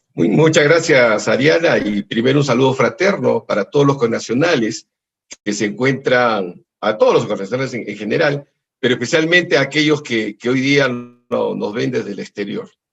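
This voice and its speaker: A man of medium pitch talks at a moderate pace with lively intonation. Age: 60s. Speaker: political candidate. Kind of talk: political debate. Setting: video call. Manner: halting.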